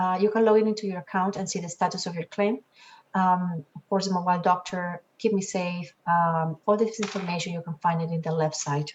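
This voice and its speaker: A fairly quick, somewhat breathy woman's voice at a medium pitch. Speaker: insurance company representative. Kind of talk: orientation presentation. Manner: fast.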